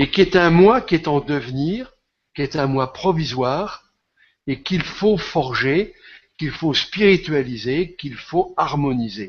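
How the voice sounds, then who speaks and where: Here a man speaks at a very slow pace. His pitch is fairly high and his intonation lively. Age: 70s. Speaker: esoteric author and speaker. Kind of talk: interview, answering audience questions. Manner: passionate.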